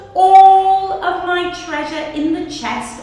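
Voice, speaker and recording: With a put-on character voice, a woman speaks at a very slow pace and an extremely high pitch amid strong echo. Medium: read story. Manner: bossy, threatening.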